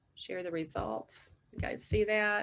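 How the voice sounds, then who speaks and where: Very slowly, a woman talks with an American accent. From US South, North Carolina. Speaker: communications consultant, former broadcast reporter. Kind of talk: webinar presentation. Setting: video call.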